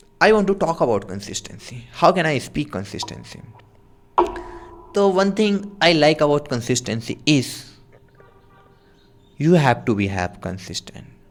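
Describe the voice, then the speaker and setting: Over noticeable background noise, a man with a fairly high pitch speaks at a moderate pace with long, frequent pauses. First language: not English (non-native speaker). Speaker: self-improvement YouTuber. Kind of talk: spontaneous speaking practice. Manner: halting, with self-corrections.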